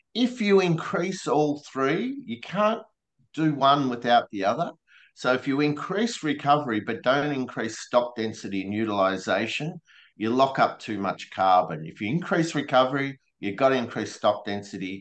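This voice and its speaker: In an Australian accent, a man at medium pitch talks at a moderate pace, his pitch swinging very widely. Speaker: regenerative grazing presenter. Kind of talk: webinar presentation.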